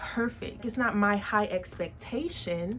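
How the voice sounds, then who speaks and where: Speaking at a fairly slow pace with an American accent, a woman uses a normal speaking voice at medium pitch with fairly even intonation. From Texas, San Antonio. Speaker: podcast host. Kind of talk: casual vlog monologue.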